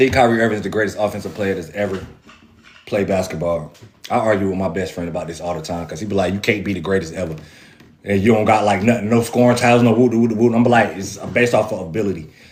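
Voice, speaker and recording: Amid audible room echo, a man talks at a very fast pace with a fairly low pitch and ordinary pitch variation. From North Carolina, Raleigh. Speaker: basketball fan show host. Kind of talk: casual livestream chat. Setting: livestream with viewer comments.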